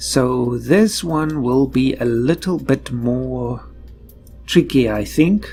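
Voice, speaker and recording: Music plays in the background as a man speaks in a relaxed tone. His pace is very slow. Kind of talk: casual gameplay commentary. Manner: relaxed, thinking aloud.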